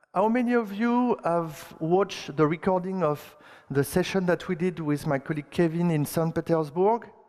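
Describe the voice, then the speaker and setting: The speaker has a strong French accent and ordinary pitch variation. The pace is fairly slow. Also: man. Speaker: conference speaker, software engineer. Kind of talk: technical conference talk. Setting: stage with audience. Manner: halting, with many fillers and repetitions.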